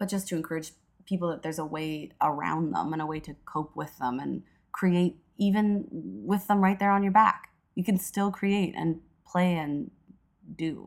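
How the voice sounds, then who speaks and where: A woman speaks in a fairly low pitch with ordinary pitch variation, an unremarkable speaking voice. The recording is very clean, with a silent background. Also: moderate pace. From Edmonton, Alberta, western Canada. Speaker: comedian and actress. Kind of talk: casual interview chat.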